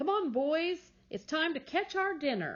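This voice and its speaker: A put-on character voice from a woman, fairly slow and extremely high-pitched. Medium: read story. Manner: gentle, upbeat.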